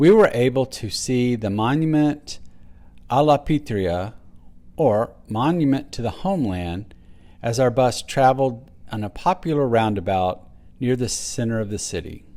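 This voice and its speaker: In a very clean recording with a silent background, a man with a Texas accent talks at a fairly slow pace, his medium-pitched voice dark and mellow with lively intonation. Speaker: travel vlogger. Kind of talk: travel narration.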